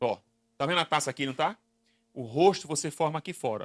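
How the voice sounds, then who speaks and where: A man with a Recife accent speaks at a fairly quick pace in a fairly high pitch, his bright, sharp tone and lively intonation captured in a dry, close sound with no echo. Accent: Northeastern Brazilian (Recife). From Brazil, Northeast (Recife). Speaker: business consultant and lecturer. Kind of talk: conference talk. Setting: stage with audience. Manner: interactive, questioning the audience.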